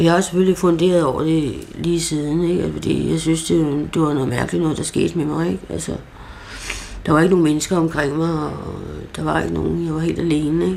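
Noticeable background noise and audible room echo around a woman's voice at a moderate pace. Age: 60s. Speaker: psychiatric patient. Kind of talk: interview. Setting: at home. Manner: halting.

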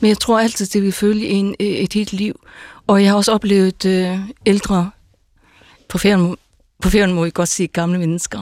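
A woman's medium-pitched voice at a moderate pace, with fairly even intonation, long, frequent pauses, and a dry, close sound with no echo. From Faroe Islands. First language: Faroese (speaking Danish). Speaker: pastor. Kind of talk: radio panel discussion.

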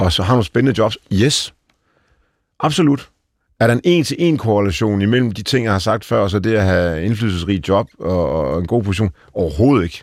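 A man's fairly low voice with lively intonation on a very clean recording with a silent background. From Denmark, Aalborg. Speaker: tech company CEO. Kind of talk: interview. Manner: halting.

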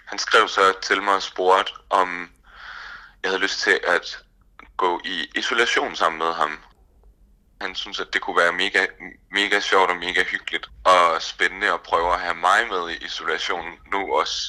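A man speaks at a fairly slow pace, pausing long and often. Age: 20s. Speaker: nursing student. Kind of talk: personal testimony. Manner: hesitant, many fillers.

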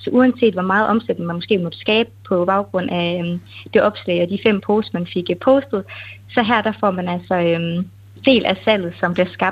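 A woman with a plain, everyday voice speaks at a fairly slow pace and medium pitch, with ordinary pitch variation. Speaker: webshop owner. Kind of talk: interview. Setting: phone call.

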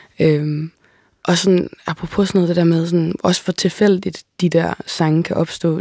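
A woman speaks with a dark, mellow tone and flat, monotone intonation. Her loudness stays very even throughout. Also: fairly low pitch for a woman. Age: 20s. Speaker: singer-songwriter. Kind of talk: casual interview conversation. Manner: hesitant, many fillers and repetitions.

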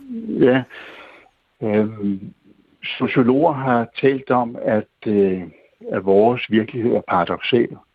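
A man's medium-pitched voice at a very slow pace, with long, frequent pauses and ordinary pitch variation. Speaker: retired priest. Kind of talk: phone-in conversation.

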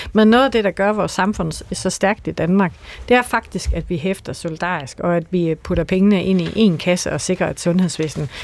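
A woman's fairly low voice in a Jutlandic accent, at a moderate pace, with ordinary pitch variation. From Jutland, Aarhus. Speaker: politician. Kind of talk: radio debate. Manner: hesitant, many fillers.

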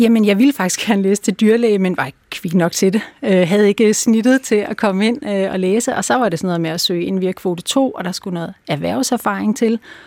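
The delivery is fairly quick with hardly any pauses. The sound is dry and close, with no echo. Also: woman, medium pitch for a woman, ordinary pitch variation. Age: 50s. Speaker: dog behaviour consultant. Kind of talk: interview. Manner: hesitant, many fillers.

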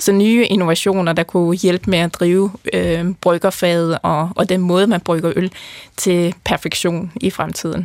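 A woman with a plain, everyday voice speaks at a fairly slow pace, her fairly low pitch held in fairly even intonation and very even loudness. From North Jutland, Denmark. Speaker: brewing scientist. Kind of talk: interview.

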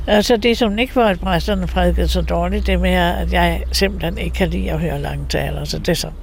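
Over noticeable background noise and audible room echo, a woman with a very deep, low pitch talks at a fairly quick pace in a flat monotone, with hardly any pauses. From Denmark, Copenhagen (Valby). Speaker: nun and icon painter. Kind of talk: interview. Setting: her home. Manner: halting.

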